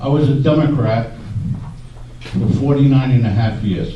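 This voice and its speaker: A man at medium pitch with fairly even intonation, with audible room echo and noticeable background noise. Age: 70s. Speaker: audience member and letter writer. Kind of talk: public forum audience question.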